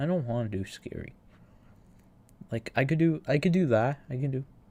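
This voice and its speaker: A man talks with a somewhat breathy voice, keeping a moderate pace and lively intonation. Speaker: gaming streamer. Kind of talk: casual livestream chat. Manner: halting, repeats words.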